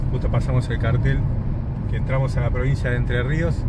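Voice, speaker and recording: A man's voice, dry with no echo, against loud background noise. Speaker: travel vlogger. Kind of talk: casual travel vlog narration. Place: car. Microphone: phone near.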